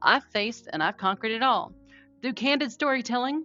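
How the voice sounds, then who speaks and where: There is music in the background. A woman speaks in a Southern US accent with ordinary pitch variation. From North Carolina, USA. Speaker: podcaster, trauma survivor. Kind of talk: podcast intro.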